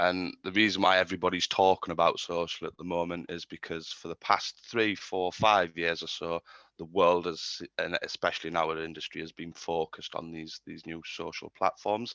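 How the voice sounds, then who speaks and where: Over a quiet background, a man with a British accent speaks at a moderate pace in a very deep, low pitch, his bright, sharp tone flat and monotone while his loudness swings widely. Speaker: marketing agency speaker. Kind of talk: webinar presentation. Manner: hesitant, many fillers.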